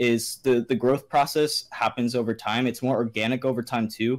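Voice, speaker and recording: A man speaks in a monotone, flat intonation on a very clean recording with a silent background. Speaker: video creator hosting a podcast. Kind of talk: casual chat. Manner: halting, many fillers.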